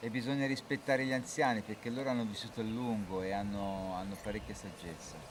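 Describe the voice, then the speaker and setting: A man at a fairly low pitch, talking at a very fast pace with hardly any pauses. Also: ordinary pitch variation. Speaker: interpreter. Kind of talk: consecutive interpreting.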